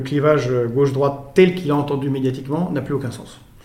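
With noticeable background noise behind him, a man talks at a moderate pace and a fairly high pitch. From born in Belgrade, Serbian father, French mother. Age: 40s. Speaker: presidential candidate. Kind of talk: political interview.

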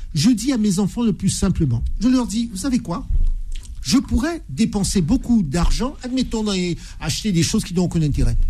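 A man's high voice with very wide pitch swings at a moderate pace, against noticeable background noise. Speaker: lawyer, debate panelist. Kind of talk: radio panel debate. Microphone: microphone badly positioned at first.

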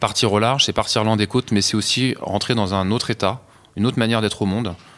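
Speaking at a very fast pace, a man keeps a fairly even intonation. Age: 40s. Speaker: offshore sailor. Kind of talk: interview. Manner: halting.

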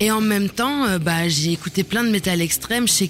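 A woman talks at a moderate pace with a medium pitch and ordinary pitch variation. Noticeable background noise runs underneath. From Germany. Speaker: musician and actress. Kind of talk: casual interview. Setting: radio studio.

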